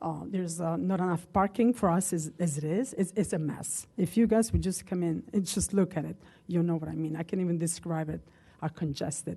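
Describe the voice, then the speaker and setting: Speaking at a fairly quick pace, a woman has a fairly low, dark, mellow voice with vocal fry. She has a non-native accent and ordinary pitch variation. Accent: foreign accent, noticeable. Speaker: local business owner speaking at public comment. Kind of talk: public comment at township meeting. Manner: halting, many fillers.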